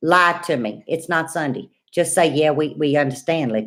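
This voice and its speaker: In a very clean recording with a silent background, a woman speaks with a Louisiana accent. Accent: Cajun Louisiana. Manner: pleading, asking for reassurance.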